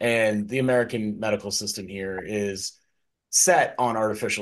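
A man talks in a plain, everyday voice with a fairly low pitch. His pace is moderate and his pitch varies in an ordinary way. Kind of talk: casual chat.

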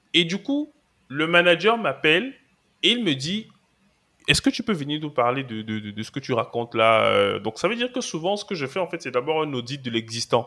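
Fairly high-pitched man with a bright, sharp tone, very wide pitch swings, and a moderate pace, on a very clean recording with a silent background. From Cameroon. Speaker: cloud and DevOps engineer, trainer. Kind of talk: podcast interview.

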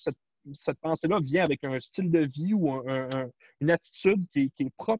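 A man talks at an average tempo, his intonation full of movement. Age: 40s. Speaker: cybersecurity specialist. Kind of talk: interview.

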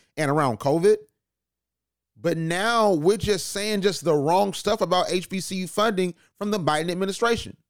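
A man's high-pitched, animated voice at a moderate pace with ordinary pitch variation, in a very clean recording with a silent background. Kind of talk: radio dj patter, energetic podcast intro. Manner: animated, punchy, rallying.

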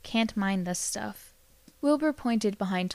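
An unforced reading voice with lively intonation

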